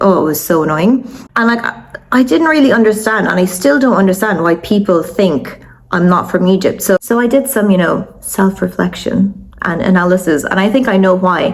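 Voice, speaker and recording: The speaker talks at a fairly quick pace in an animated tone with lively intonation, leaving long, frequent pauses over noticeable background noise. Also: woman, medium pitch for a woman. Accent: Irish. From Ireland. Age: 30s. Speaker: vlogger. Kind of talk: personal storytelling.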